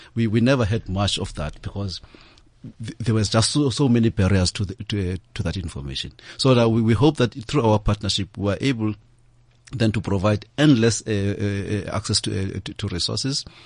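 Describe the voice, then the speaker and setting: Over a quiet background, a man with a fairly low, somewhat breathy voice speaks at a moderate pace with ordinary pitch variation. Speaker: head of a corporate foundation. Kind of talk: panel discussion on radio. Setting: radio studio. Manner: halting, repeats words.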